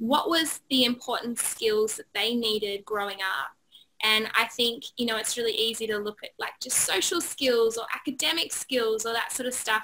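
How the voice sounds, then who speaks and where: A woman with an Australian accent, fairly high in pitch, bright and sharp in tone, at a moderate pace. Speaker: positive psychology trainer, author. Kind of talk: interview chat.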